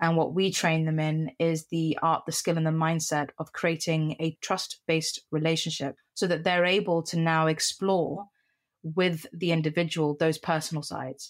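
A woman's fairly low, monotone voice with flat intonation, at a moderate pace. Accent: British. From Middle East (Qatar, Cyprus), schooled in UK. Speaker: CEO of a mentoring organisation. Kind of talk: podcast interview.

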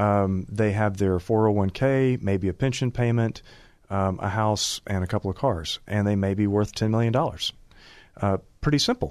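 A man speaks in a plain, everyday voice at a fairly low pitch and a moderate pace, with ordinary pitch variation. His loudness stays very even over a quiet background. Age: 50s. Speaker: divorce attorney. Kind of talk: radio interview.

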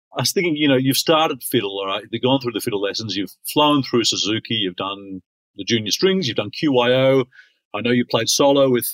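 With an Australian accent, a man speaks at a fairly quick pace and medium pitch, his intonation lively and the sound dry and close with no echo. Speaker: podcast host, conductor. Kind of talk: interview.

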